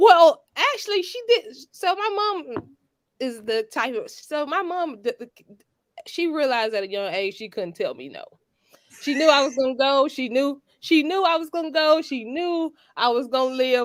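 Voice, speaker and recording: A woman with a Georgia accent speaks in a high voice with very wide pitch swings. Her loudness swings widely too. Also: moderate pace. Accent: Georgia Southern. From US South, Georgia. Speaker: attorney. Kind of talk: interview on a talk show. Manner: halting, many fillers.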